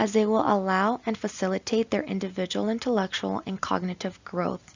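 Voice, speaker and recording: Pitch moves in an ordinary way. The delivery comes at a fairly quick pace. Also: woman. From southern California (La Puente), Mexican-American family. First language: Spanish. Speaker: graduate student. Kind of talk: class presentation, read from script.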